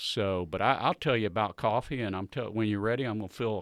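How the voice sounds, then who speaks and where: A man talks at a very fast pace in a Southern US accent with fairly even intonation. The background is quiet, and the sound is dry and close with no echo. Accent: Southern US (Georgia). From US South, Southwest Georgia. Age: 60s. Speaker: coffee business owner. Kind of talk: casual interview chat.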